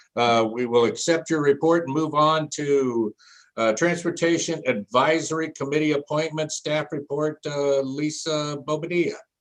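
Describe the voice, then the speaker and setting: A man with an unremarkable speaking voice talks at a moderate pace, his pitch fairly high with ordinary variation. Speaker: mayor chairing city council meeting. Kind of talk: council meeting chairing. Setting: teleconference.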